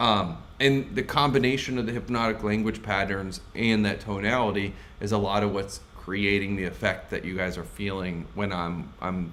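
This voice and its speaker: Audible room echo surrounds a man whose fairly low voice has ordinary pitch variation. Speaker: sales coach. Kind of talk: live stream Q&A. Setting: live stream. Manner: wide pitch range, animated; fast.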